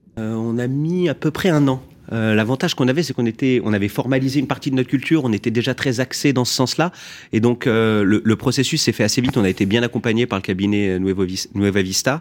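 A man speaks in an unremarkable speaking voice at a medium pitch with ordinary pitch variation. He goes at a fairly quick pace on a very clean recording with a silent background. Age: 30s. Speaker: company executive. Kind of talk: radio interview.

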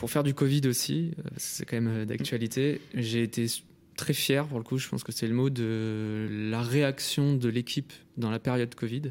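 A man talks in an unremarkable speaking voice at a medium pitch. His intonation is fairly even and his pace fairly slow. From France, Lyon. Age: 20s. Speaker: startup founder. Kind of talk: radio interview.

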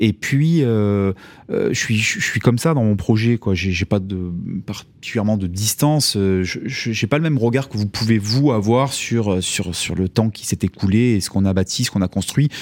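A man with a fairly low voice talks at a moderate tempo, his pitch varying in an ordinary way. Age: 40s. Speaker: company CEO. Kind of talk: radio interview. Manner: halting.

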